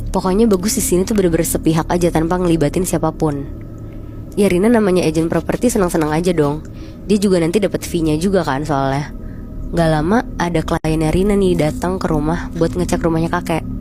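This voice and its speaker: Noticeable background noise sits under a woman with a fairly low pitch. She speaks at a very fast pace with ordinary pitch variation. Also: very even loudness. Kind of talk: horror story retelling, casual storytelling to listeners. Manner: conversational, relaxed.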